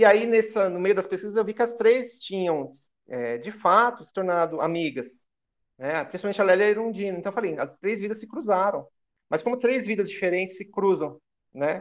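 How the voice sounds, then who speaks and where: A man's high-pitched voice at a fairly quick pace, with lively intonation and big swings in loudness. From Brazil, Guarulhos, São Paulo. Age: 30s. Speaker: historian. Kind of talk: interview.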